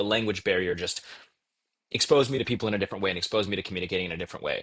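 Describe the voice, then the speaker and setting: Set against a quiet background, a man's voice comes through with a dry, close sound and no echo. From Texas. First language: Bengali. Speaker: debate champion and startup founder. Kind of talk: podcast interview. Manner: fast.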